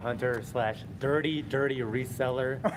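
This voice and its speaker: A man with a Boston accent and medium pitch talks at a moderate pace over noticeable background noise. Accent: Boston area. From Massachusetts. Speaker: toy collector and reseller. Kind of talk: live panel discussion. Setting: convention stage with audience.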